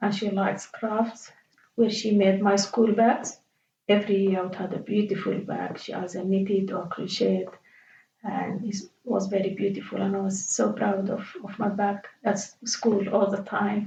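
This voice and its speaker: Her intonation monotone and flat, a woman speaks at a moderate pace and a medium pitch. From Sudan, Khartoum. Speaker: interviewee. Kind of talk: life story interview. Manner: halting.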